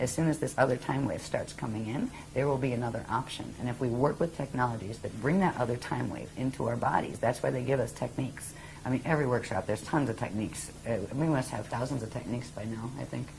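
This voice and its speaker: A woman with an American accent talks at a very fast pace with a very deep, low pitch. Her pitch variation is ordinary, and background noise is noticeable. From US Northeast. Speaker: spiritual teacher. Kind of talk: interview.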